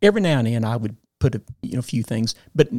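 Moderate pace from a man at a medium pitch, in a Southern US accent, with a dry, close sound and no echo. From Arkansas. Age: 60s. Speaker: former state legislator. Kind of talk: interview.

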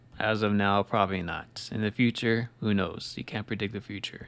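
The recording is very clean and the background silent. At a moderate pace, an unremarkable speaking voice talks with fairly even intonation. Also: man. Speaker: podcast host. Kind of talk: pep talk. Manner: earnest, repetitive, motivating.

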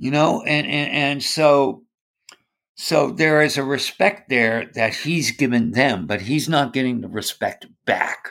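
A man with a fairly high pitch speaks at a very slow pace. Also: ordinary pitch variation. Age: 60s. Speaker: church musician. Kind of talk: casual chat. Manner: halting.

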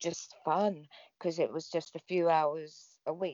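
The speech is very slow, in an English accent. Intonation stays fairly even. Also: woman. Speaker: former wrestling personality and author. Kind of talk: casual interview chat.

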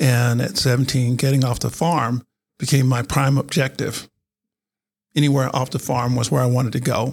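A somewhat breathy male voice of medium pitch, with an American accent, fairly even intonation and a moderate pace. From North Carolina. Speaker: retired general and cybersecurity executive. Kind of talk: interview. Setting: studio.

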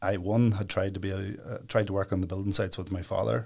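Fairly quick speech from a man with a Northern Irish accent, fairly low in pitch. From Northern Ireland, County Down (Warrenpoint). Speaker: solicitor. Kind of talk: interview.

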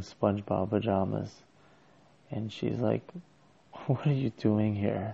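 A man speaks quietly at a fairly slow pace. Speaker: podcaster. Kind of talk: personal solo monologue. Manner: quiet, low-voiced.

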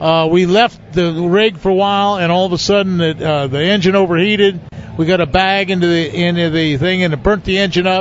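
A man's high voice at a fairly quick pace, with noticeable background noise. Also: fairly even intonation. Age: 70s. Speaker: veteran professional bass angler. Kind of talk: casual interview chat. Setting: live show at a fishing tournament event.

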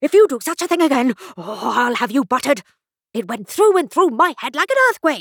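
A woman's put-on character voice, high-pitched with big pitch swings and a slightly husky edge, at a fairly quick pace in a dry, close sound with no echo

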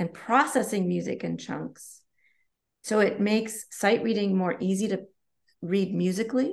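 A woman speaks with vocal fry and ordinary pitch variation. The background is quiet. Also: medium pitch for a woman, moderate pace. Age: 40s. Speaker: collaborative pianist. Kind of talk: podcast interview.

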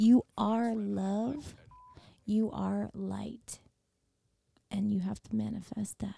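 A woman with a Florida Panhandle accent, very slow, with long, frequent pauses. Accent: Southern US, Florida panhandle, noticeable. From Milton, Florida. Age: 30s. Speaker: singer. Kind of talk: casual chat.

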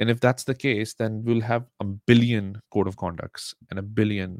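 In a Pakistani accent, a man talks at a moderate pace with fairly even intonation. The sound is dry and close, with no echo. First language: Urdu. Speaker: podcast host. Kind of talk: solo commentary monologue. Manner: hesitant with many fillers.

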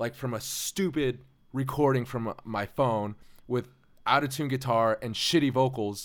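The recording is very clean, with a silent background, as a man speaks in an ordinary speaking voice at a medium pitch. His pace is fairly slow, and his pitch variation is ordinary. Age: 20s. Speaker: bass player and songwriter. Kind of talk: casual chat. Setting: home studio.

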